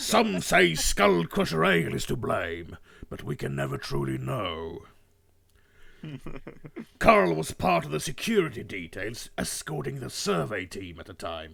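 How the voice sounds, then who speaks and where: A man's raspy put-on character voice, very deep and low in pitch, at a moderate pace with long, frequent pauses. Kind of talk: dramatic storytelling. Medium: role play. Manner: rousing, dramatic.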